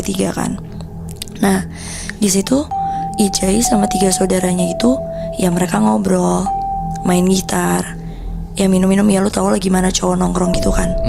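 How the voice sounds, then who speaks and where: Music plays in the background as a woman speaks at a moderate pace. She leaves long, frequent pauses and keeps her loudness very even. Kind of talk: casual horror storytelling to camera, told conversationally. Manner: conversational, informal Jakarta-style slang.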